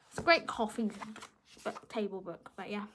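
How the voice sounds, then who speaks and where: Over noticeable background noise, a woman with a British accent speaks at a fairly quick pace and a fairly high pitch. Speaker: book vlogger. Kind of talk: casual chat. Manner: fast.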